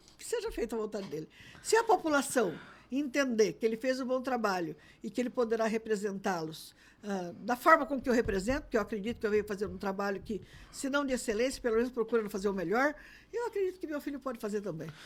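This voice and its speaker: A woman speaks very fast at a fairly high pitch, her voice swinging very widely up and down. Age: 60s. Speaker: politician. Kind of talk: interview.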